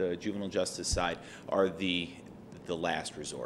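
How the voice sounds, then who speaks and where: Speaking at a fairly quick pace, a man is heard with audible room echo. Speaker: state agency quality assurance director. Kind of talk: conference presentation. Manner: fast.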